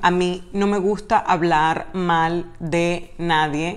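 A woman with a medium pitch and ordinary pitch variation. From Latin America. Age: 30s. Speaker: actress and YouTuber; actress, YouTuber. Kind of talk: casual Q&A vlog. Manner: animated. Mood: cheerful, laughing. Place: home room. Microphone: webcam.

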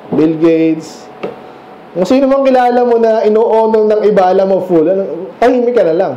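A man speaks at a fairly quick pace in a high voice, with lively intonation and an animated tone. His loudness stays very even, and there is audible room echo. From Philippines. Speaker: preacher. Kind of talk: sermon, verse-by-verse Bible teaching. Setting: church. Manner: conversational, explains and asks rhetorical questions; animated, mixes Tagalog and English. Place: church. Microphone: camera far.

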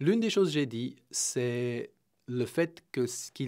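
The background stays quiet while a man talks. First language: not Romanian; speaks French here (speaking Romanian). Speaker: executive coach; interview guest. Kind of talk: interview via interpreter; interview answer. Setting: radio studio. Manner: hesitant, many fillers. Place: studio. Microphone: studio mic.

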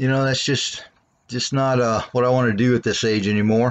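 The background is quiet. A man is talking. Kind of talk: casual walkaround tour. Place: street. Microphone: phone near.

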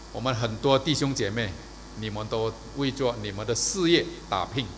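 Moderate pace from a man, over light background noise. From Malaysia. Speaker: preacher. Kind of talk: sermon. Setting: church service video. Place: church. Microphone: podium.

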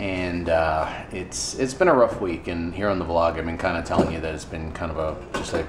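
Over noticeable background noise, a man with a very deep, low pitch talks at a fairly quick pace and keeps his intonation fairly even. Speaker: ministry volunteer vlogger. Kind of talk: casual vlog chat. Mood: somber, reflective. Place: kitchen. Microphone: phone near.

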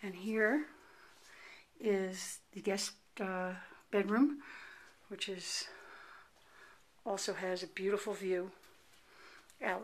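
Speaking at a very slow pace with long, frequent pauses, a woman uses ordinary pitch variation. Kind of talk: casual house tour narration. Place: home room. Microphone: phone near.

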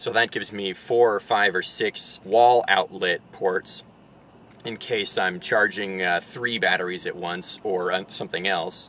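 The speech keeps a moderate pace in a dry sound with no echo. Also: man. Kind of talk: casual vlog tutorial. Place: car. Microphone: camera far.

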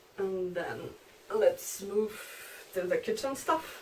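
A woman with a Polish accent speaks with lively intonation over light background noise. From Poland. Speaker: long-distance hiker. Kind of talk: gear review tutorial. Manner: halting. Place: home room. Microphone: camera far.

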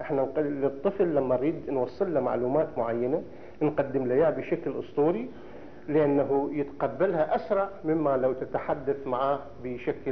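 A man's fairly high voice, an ordinary speaking voice, at a moderate pace with ordinary pitch variation and light background noise. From Iraq. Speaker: archaeologist and scholar of ancient Iraq; lecturer. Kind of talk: lecture. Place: hall. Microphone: podium.

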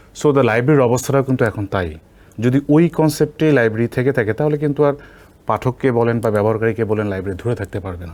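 In a very clean recording with a silent background, a man with a plain, everyday voice speaks at medium pitch with ordinary pitch variation. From Bangladesh, Nilphamari (northern). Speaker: university professor. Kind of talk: interview. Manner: heavy Bengali-English code-switching.

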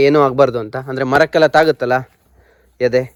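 Here is a plain, everyday voice with fairly even intonation. The sound is dry and close, with no echo. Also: man. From Karnataka, Uttara Kannada district (Siddapur). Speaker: village vlogger. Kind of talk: vlog narration and interview. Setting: outdoors in areca plantation.

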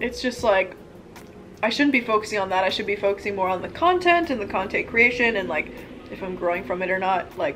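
Light background noise sits behind this woman as she speaks very fast. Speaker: vlogger. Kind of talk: casual vlog chat while eating. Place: home room. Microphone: camera far.

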